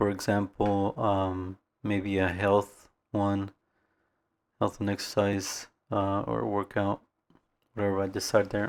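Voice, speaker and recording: A man's fairly low, monotone, flat voice at a very slow pace with long, frequent pauses, on a very clean recording with a silent background. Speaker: vlogger practicing speaking. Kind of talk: casual vlog monologue. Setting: talking to camera. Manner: halting, many fillers and pauses; soft-spoken, reserved.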